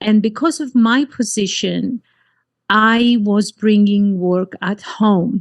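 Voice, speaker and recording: At a very slow pace, a woman with a fairly high pitch and ordinary pitch variation speaks in a dry, close sound with no echo against a quiet background. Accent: Greek. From Cyprus. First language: Greek. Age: 50s. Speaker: life coach. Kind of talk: interview.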